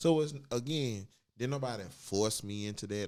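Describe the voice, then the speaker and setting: A man speaks at a fairly slow pace. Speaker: transgender guest sharing personal views. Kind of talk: casual podcast conversation. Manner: animated.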